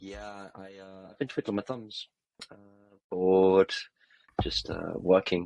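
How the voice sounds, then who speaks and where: A man with an English accent speaks at a moderate pace in a dry, close recording with no echo. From England. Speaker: football podcast co-host. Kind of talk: casual chat. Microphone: poor mic, bad audio.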